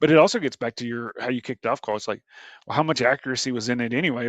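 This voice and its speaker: With an American accent, a man talks at a very fast pace in a medium pitch. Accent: Southern US, comes through heavy at times. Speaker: HR workforce strategy leader. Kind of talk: podcast interview. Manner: hesitant, filler-heavy.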